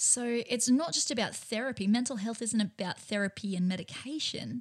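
A somewhat breathy voice at a moderate pace, with ordinary pitch variation. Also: woman. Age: 30s. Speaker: podcast host. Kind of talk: solo self-help podcast talk.

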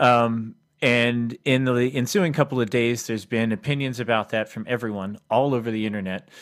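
It is a plain, everyday voice: a man at medium pitch and a moderate pace, with fairly even intonation and hardly any pauses. The recording is very clean, with a silent background. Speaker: podcast co-host. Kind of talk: casual discussion podcast.

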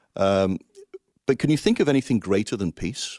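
A man with an English Midlands accent and a fairly low pitch talks at a fairly quick pace with lively intonation, the sound dry and close with no echo. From Coventry, England. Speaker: Salvation Army finance officer. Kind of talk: interview about faith and finances.

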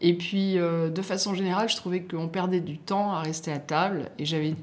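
An unremarkable speaking voice from a woman, fairly low in pitch, with ordinary pitch variation at a moderate pace. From southern France, Côte d'Azur. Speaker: magazine editor-in-chief and chef. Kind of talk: interview.

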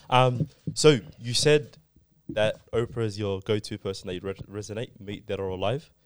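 Speaking with an Australian accent, a man at medium pitch shows big swings in loudness. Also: very clean recording, silent background. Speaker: podcast co-host. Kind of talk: casual chat.

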